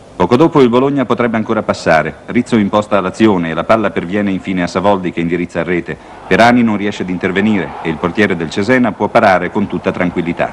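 Noticeable background noise fills the recording. Through it, a man speaks very fast. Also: fairly low pitch for a man, ordinary pitch variation, hardly any pauses. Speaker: newsreel sports commentator. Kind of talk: 1970 sports newsreel commentary, scripted narration. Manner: formal, brisk, authoritative newsreel narrator.

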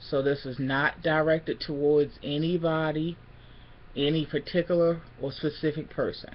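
A woman's very deep, low voice at a fairly slow pace. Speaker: vlogger. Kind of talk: casual vlog chat, venting. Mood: annoyed, defiant. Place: home room. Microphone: webcam.

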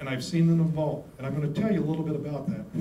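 A high-pitched man speaks with audible room echo. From West Virginia. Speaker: economist; presenter. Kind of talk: presentation. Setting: hotel meeting room with audience. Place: meeting room.

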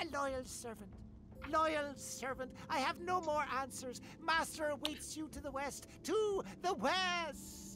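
Clear music plays in the background as a woman, pitched high, uses a put-on character voice at a fairly slow pace. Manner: muffled, pleading.

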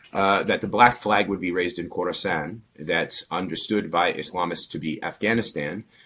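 A man with an American accent, a bright, sharp tone and a fairly low pitch, at a moderate pace with ordinary pitch variation. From Pennsylvania, US. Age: 30s. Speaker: former extremist turned counter-extremism researcher; interview guest. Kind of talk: interview. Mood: calm, reflective. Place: home room. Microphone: earbuds.

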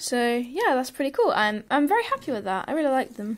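A woman's high-pitched voice. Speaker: toy unboxing vlogger. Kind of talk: casual vlog chat. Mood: cheerful, mildly excited. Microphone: phone near.

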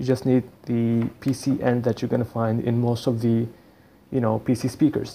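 A man with a non-native accent speaks in a dark, mellow tone. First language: not English. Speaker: YouTuber / DJ tutorial maker. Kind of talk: tutorial. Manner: casual, halting with frequent fillers.

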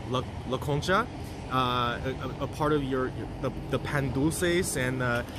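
A man's voice, dry and echo-free, over noticeable background noise. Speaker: food tour guide. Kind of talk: casual vlog chat. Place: street. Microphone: phone near.

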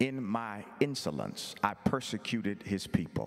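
A fairly slow pace against a quiet background. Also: man. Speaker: visiting preacher. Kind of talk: sermon. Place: church. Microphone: handheld.

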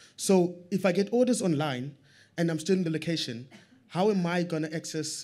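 The man's tone is dark and mellow, and his pace is moderate. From South Africa, Strand township; South Africa. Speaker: audience member, small business owner; audience member. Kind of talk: audience question. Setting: stage with audience. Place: meeting room.

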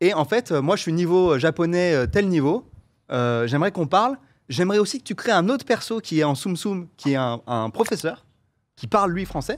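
The man's pitch swings very widely. He talks at a moderate pace. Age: 30s. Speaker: content creator; guest. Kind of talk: casual chat. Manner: hesitant, many fillers. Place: studio. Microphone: studio mic.

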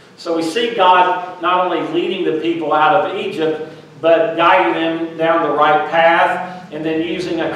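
Strong room echo and light background noise surround a man's voice. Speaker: minister. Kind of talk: sermon. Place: church.

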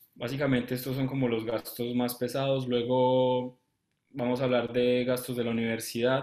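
The delivery is monotone and flat, set at a moderate pace. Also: man, medium pitch for a man. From Colombia. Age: 20s. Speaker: medical student. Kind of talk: live interview. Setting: live stream. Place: home room. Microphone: webcam.

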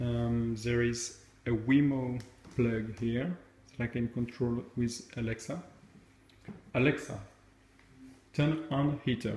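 In a French accent, a man speaks at a very slow pace with fairly even intonation, a somewhat breathy voice, and long, frequent pauses amid audible room echo. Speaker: tech video creator. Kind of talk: tutorial. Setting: at home. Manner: hesitant, many fillers. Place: home room. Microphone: phone near.

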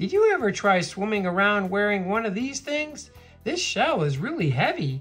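A put-on character voice at a fairly high pitch, full of very wide pitch swings, at a moderate pace over faint music in the background. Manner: cranky.

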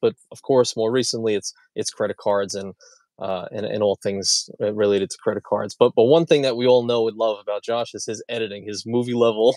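A man at a fairly quick pace, dry sound with no echo, quiet background. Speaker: podcast host. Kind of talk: podcast intro chat. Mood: upbeat, excited. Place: car. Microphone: earbuds.

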